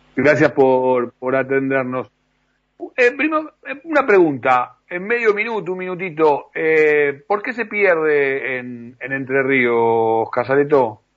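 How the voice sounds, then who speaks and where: At a very slow pace, a man speaks in a fairly high pitch with lively intonation. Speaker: radio host. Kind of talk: radio interview. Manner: halting.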